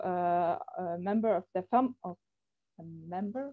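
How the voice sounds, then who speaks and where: A woman with a German accent speaks with lively intonation. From Germany. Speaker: software company representative. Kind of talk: online presentation. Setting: video call. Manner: halting, many fillers.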